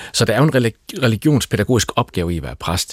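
A man with a Southern Jutland accent speaks on a very clean recording with a silent background. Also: dry, close sound with no echo. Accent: Danish with southern Jutland undertone. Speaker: pastor. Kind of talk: panel discussion. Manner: halting.

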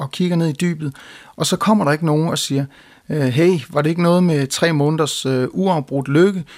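A man with an ordinary speaking voice talks at a moderate pace in a fairly high pitch with ordinary pitch variation, on a very clean recording with a silent background. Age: young. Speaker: hymn writer and composer. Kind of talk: talk introducing his hymn.

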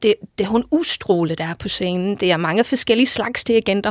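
The woman's voice sits at medium pitch, the sound dry and close with no echo. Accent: English. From England, Liverpool. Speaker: choir conductor. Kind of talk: radio interview. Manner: energetic.

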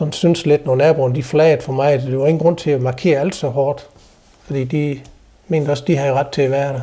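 A man with a dark, mellow tone and a fairly high pitch speaks with fairly even intonation. His delivery is somewhat breathy and moderately paced. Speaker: guest's husband. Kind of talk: casual conversation.

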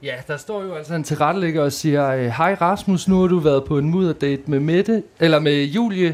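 This is a plain, everyday voice with ordinary pitch variation. It moves at a moderate pace with hardly any pauses. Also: man, fairly high pitch for a man. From Denmark, Djursland (Mols). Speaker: reality TV participant. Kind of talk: live panel conversation. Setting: stage with audience.

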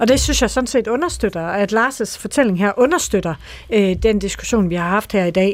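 With a Jutlandic accent, a woman speaks at a medium pitch. Her pace is moderate and her pitch variation ordinary. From Jutland, Aarhus. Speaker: politician. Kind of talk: radio debate. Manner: hesitant, many fillers.

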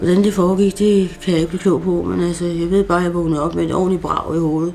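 Over noticeable background noise, a woman speaks with a monotone, flat intonation. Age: 60s. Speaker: psychiatric patient. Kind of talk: interview. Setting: at home. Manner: halting.

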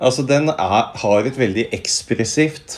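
At a medium pitch, a man speaks at a very slow pace with very wide pitch swings. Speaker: philosophy professor. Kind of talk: interview.

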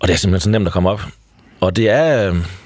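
A man speaks at a fairly quick pace. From Denmark, Triangle Region (Jutland). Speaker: founder of a hitchhiking community. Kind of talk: radio interview. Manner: hesitant, many fillers.

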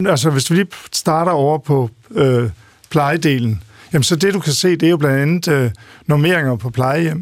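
A man talks at a moderate pace in an unremarkable speaking voice. His pitch is fairly high, with ordinary variation. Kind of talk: radio discussion, interview. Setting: studio.

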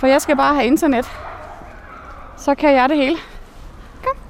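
A woman's high voice against noticeable background noise. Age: 30s. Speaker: accountant and volunteer dog walker. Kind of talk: on-location interview.

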